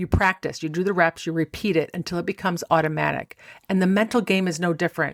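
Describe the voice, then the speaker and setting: With an American accent and a medium pitch, a woman talks at a fairly quick pace in a very clean recording with a silent background and a dry, close sound with no echo. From Rochester, New York. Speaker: mental golf coach. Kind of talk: podcast episode talk.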